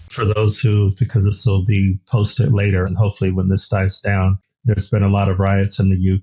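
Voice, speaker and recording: Somewhat breathy, a man with an American accent speaks at a fairly quick pace and a fairly low pitch. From United States. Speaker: podcast host. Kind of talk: interview.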